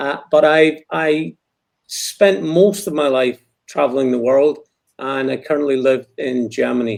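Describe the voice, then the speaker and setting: This man speaks with a Scottish accent in a fairly high pitch. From Scotland. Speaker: war veteran. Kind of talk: interview.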